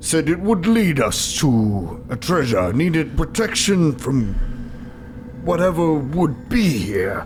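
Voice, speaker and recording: A man puts on a character voice with a fairly high pitch. He speaks at a very slow pace over clear background noise. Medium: actual play. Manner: rambling, flirty, stammering.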